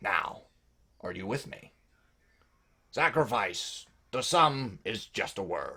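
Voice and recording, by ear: A man uses a put-on character voice, raspy and at medium pitch. He goes at a fairly slow pace with long, frequent pauses.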